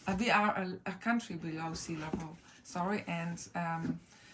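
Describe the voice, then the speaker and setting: A woman's fairly low voice at a fairly slow pace with fairly even intonation, against noticeable background noise. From Netherlands, Groningen in the north. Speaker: speaker sharing personal items. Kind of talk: personal show-and-tell talk. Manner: halting, many fillers.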